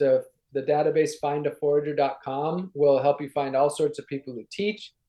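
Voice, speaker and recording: A man with an ordinary speaking voice, fairly high in pitch, at a moderate pace and with ordinary pitch variation. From Wisconsin, Ashland on Lake Superior. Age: 30s. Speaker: sustainability activist. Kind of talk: interview.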